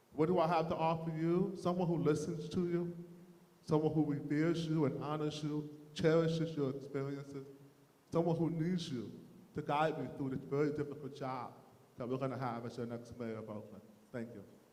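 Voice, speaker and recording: Over audible room echo, a man with a fairly high voice talks at a fairly quick pace with ordinary pitch variation. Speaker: mayoral candidate. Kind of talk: candidate forum speech.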